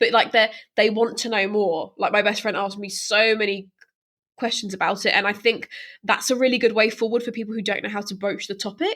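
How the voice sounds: A woman's medium-pitched, fairly bright voice at a fairly quick pace, with fairly even intonation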